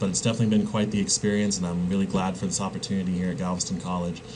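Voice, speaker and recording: Amid noticeable background noise and audible room echo, a man with a US Midwestern accent speaks with ordinary pitch variation. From Kansas, US Midwest. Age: 20s. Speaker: college instructor. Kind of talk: lecture. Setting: recording alone with a webcam. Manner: halting, many fillers.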